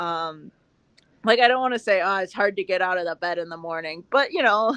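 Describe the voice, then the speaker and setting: A woman with an American accent speaks at a medium pitch and a fairly quick pace. Her tone is bright and sharp, against a quiet background. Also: ordinary pitch variation. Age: 20s. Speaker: dairy farmer. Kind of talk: casual chat.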